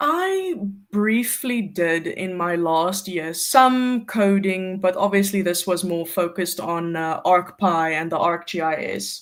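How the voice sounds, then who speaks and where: Someone with an American accent speaks at a very slow pace with hardly any pauses. Noticeable background noise runs throughout. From South Africa, near Cape Town. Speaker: GIS intern. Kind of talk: casual interview on a livestream.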